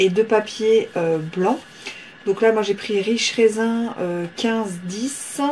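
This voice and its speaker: A woman speaks at a very slow pace. There is noticeable background noise. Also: fairly high pitch for a woman, ordinary pitch variation. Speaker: papercraft tutorial maker. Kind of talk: tutorial. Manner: hesitant, many fillers.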